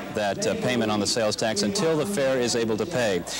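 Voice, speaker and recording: A man with an American accent speaks fairly quickly at a medium pitch with lively intonation. Noticeable background noise runs behind him. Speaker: TV news reporter. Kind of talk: live field report and anchor Q&A.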